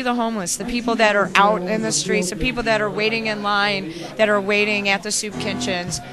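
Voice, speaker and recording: A woman's voice with fairly even intonation, dry with no echo, against noticeable background noise. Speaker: guest. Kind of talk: interview answer. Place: bar. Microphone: handheld.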